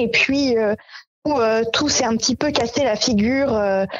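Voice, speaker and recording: Her voice is high. The woman keeps her intonation fairly even. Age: 30s. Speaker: association co-founder. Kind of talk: interview. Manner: hesitant, many fillers.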